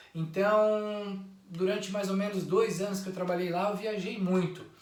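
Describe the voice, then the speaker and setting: Moderate pacing in a man's high-pitched voice, amid noticeable background noise and audible room echo. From Santa Catarina, southern Brazil (interior). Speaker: YouTuber. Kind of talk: personal introduction monologue.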